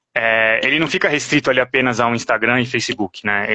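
This is a man at medium pitch in an ordinary speaking voice. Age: 30s. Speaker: paid traffic specialist. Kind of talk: interview on a live stream.

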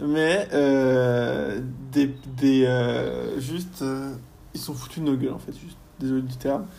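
In a room with audible echo, a man with a dark, mellow tone talks at a very slow pace and medium pitch, his intonation fairly even and his loudness swinging widely. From France, Rennes. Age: 20s. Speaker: university student. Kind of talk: casual interview. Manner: halting, many fillers.

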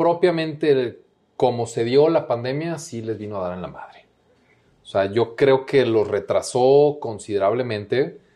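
This man has an unremarkable speaking voice with a medium pitch and ordinary pitch variation. He talks at a fairly slow pace against a quiet background. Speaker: international business coordinator at a candy company. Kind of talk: casual interview chat.

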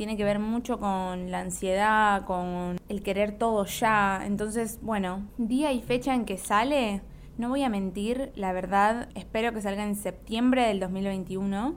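Her medium-pitched voice moves at a very slow pace with hardly any pauses. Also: fairly even intonation. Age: 20s. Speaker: podcast host and YouTuber. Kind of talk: casual monologue.

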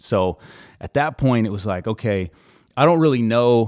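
In a normal speaking voice, a man with an American accent talks at a moderate pace and medium pitch with ordinary pitch variation, the sound dry and close with no echo on a very clean recording with a silent background. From California Central Valley. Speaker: former college basketball player. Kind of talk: casual chat.

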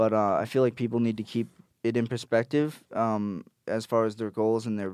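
In a normal speaking voice, a man talks at a fairly quick pace with a fairly low pitch and fairly even intonation against a quiet background. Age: 20s. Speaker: musician. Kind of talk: casual chat.

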